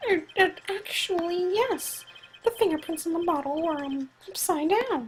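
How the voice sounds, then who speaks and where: A woman's put-on character voice, extremely high in pitch, with lively intonation at a moderate pace. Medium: actual play. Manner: stammering.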